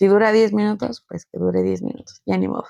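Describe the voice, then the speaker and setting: The speech moves at a fairly quick pace, with a dry, close sound and no echo. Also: woman. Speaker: podcast host. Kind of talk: solo podcast monologue. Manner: fast; casual.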